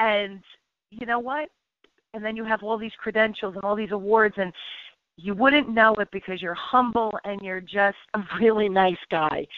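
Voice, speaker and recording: A woman with an unremarkable speaking voice talks at a moderate pace in a fairly high pitch. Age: 50s. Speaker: radio host. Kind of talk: radio interview.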